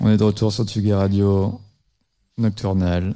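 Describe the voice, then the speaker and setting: Fairly low in pitch, a man talks in a dark, mellow tone. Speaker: radio host. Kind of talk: live radio show chat with music presentation. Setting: studio with live audience, also streamed on video.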